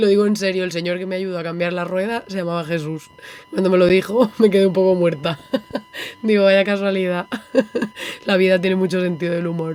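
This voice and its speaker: Over noticeable background noise, a woman speaks in an animated tone at a fairly quick pace, with long, frequent pauses. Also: medium pitch for a woman. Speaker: illustration podcast host. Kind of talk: podcast monologue. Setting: on a boat.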